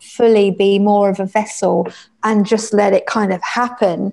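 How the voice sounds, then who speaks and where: A woman at medium pitch with a dark, mellow tone, at a moderate pace. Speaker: musician. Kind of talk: casual chat. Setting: video call.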